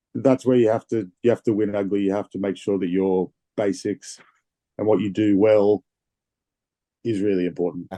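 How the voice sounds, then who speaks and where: In an Australian accent, a man talks at a moderate pace with a fairly low pitch, a dark, mellow tone and fairly even intonation, leaving long, frequent pauses in a dry, close recording with no echo. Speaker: rugby player. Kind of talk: interview.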